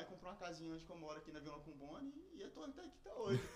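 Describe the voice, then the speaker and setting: A man talks at a very fast pace and high pitch with ordinary pitch variation. Noticeable background noise and audible room echo are present. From Espírito Santo, Brazil (moved from São Paulo at six). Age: 20s. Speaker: youtuber. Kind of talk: casual chat. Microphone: poor microphone quality.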